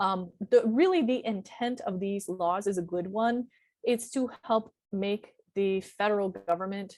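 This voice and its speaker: This is an ordinary speaking voice with lively intonation. The background is quiet. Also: woman. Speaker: university career advisor. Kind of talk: presentation.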